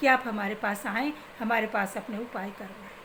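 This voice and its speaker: A woman's voice over noticeable background noise. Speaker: spiritual remedy advisor. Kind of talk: religious advice talk.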